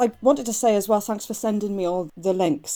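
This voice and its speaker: In a British accent, the speaker talks at a very fast pace with a dark, mellow tone and ordinary pitch variation. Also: woman. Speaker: writer. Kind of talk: casual conversation about music.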